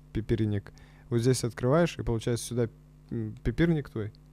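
A man talks with lively intonation. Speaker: comedy podcast co-host; podcast co-host. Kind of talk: casual chat; casual podcast chat. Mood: joking, lively, swearing. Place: studio. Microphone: studio mic.

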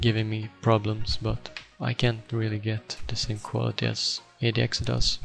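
Music plays in the background as a man speaks with a Swedish accent. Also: moderate pace. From Sweden. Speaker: gaming video editor. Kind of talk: software tutorial. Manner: flat, deadpan.

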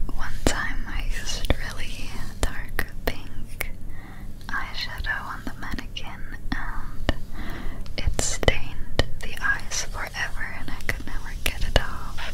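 Very slowly, a woman is whispering. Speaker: ASMR artist. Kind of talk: ASMR makeup roleplay, casual talk to camera. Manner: soft-spoken, whispered. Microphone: studio mic.

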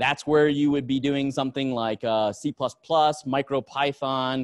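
A man with an American accent speaks at a very slow pace. His intonation stays fairly even over a quiet background. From United States. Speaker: engineer giving a tech talk; conference speaker. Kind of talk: conference talk. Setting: stage with audience. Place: hall.

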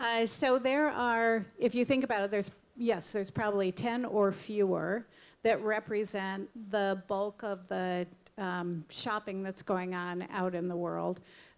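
A woman talks with an American accent at a fairly slow pace. Her pitch is medium, with ordinary pitch variation. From US Midwest, Illinois. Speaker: retail media executive; guest. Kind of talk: panel discussion. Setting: stage with audience. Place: stage. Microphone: handheld.

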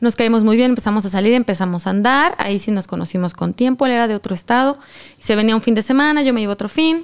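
The speaker talks at a fairly quick pace with a Mexican accent. The background is quiet. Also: woman. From Mexico. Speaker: content creator. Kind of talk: casual chat. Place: studio. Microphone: studio mic.

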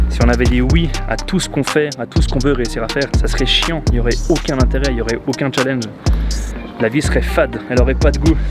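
Loud music plays in the background behind a man. He talks at a very fast pace in a dry sound with no echo. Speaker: entrepreneur, marketing agency founder. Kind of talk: casual vlog talk to camera. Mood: upbeat despite bad news. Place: street. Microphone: lapel.

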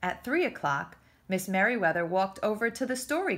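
The intonation here is lively. It comes in an unforced reading voice.

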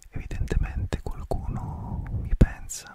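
He talks in a whisper. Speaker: ASMR creator. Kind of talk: ASMR whispered talk to camera. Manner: whispered, soft, relaxing. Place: home room. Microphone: studio mic.

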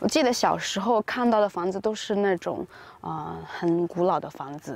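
The woman's voice has ordinary pitch variation, and the sound is dry with no echo. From rural China. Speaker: Chinese teaching vlogger. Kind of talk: casual vlog narration. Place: open country. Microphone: phone near.

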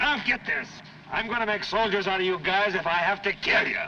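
Loud background noise sits behind a man talking at a moderate pace. His pitch variation is ordinary. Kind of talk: film dialogue, barked commands. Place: open country. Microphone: old recording.

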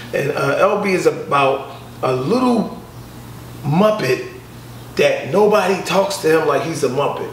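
Light background noise and audible room echo surround a man who speaks at a fairly slow pace. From Philadelphia, US. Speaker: comedian. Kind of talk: casual interview. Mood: relaxed, joking. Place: home room.

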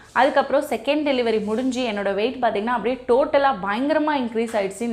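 A woman talks with a high pitch. Her pitch variation is ordinary. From Chennai, India. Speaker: weight-loss YouTuber. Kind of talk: motivational talk.

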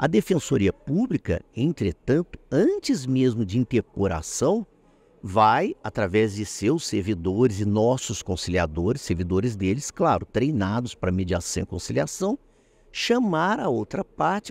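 A man's pitch swings very widely. He speaks at a fairly slow pace. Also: dry sound with no echo. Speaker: judge. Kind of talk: interview. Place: hall. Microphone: handheld.

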